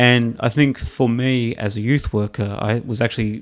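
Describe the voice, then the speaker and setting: Delivered with an Australian accent and fairly even intonation, the voice sounds dry and close with no echo against a silent background in a very clean recording. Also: man. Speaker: commentator and former youth worker. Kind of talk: casual interview chat. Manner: well-spoken.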